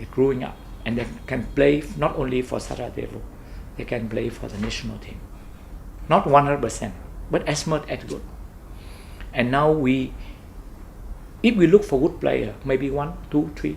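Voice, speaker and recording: A man with a Vietnamese accent at a moderate pace, with big swings in loudness and long, frequent pauses. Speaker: football club owner. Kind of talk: interview. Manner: halting.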